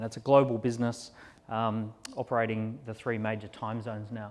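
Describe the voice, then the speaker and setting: A man with an Australian accent and a medium pitch. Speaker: entrepreneur and keynote speaker. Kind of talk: conference keynote talk. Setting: stage at live industry event.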